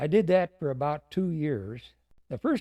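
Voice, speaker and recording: Against a quiet background, a man with an American accent talks with lively intonation in a dark, mellow tone at a fairly high pitch. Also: dry, close sound with no echo. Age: 90s. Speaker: war veteran. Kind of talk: interview. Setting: studio. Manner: halting.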